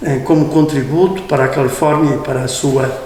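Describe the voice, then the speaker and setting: Amid noticeable background noise and audible room echo, a man talks at a moderate pace with a fairly high pitch. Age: 70s. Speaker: priest. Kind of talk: interview. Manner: halting.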